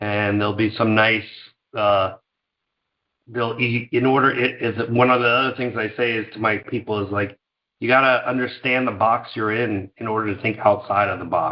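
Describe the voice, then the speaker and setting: A man with an American accent and an unremarkable speaking voice talks at a moderate pace, medium pitch and fairly even intonation. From New York, Scarsdale suburb. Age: 50s. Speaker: company founder. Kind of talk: interview.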